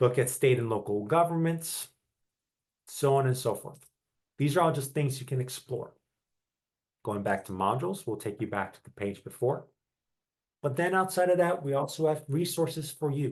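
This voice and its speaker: A man's fairly high, somewhat breathy voice at a moderate pace, with lively intonation, big swings in loudness, and long, frequent pauses. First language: Italian. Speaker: graduate adviser. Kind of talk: tutorial.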